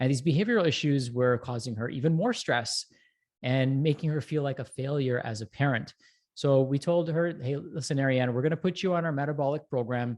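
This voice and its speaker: Over a quiet background, a man talks in a fairly high voice at a fairly quick pace, with ordinary pitch variation. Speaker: breathwork expert, health practitioner. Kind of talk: educational talk on a live show. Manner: fast.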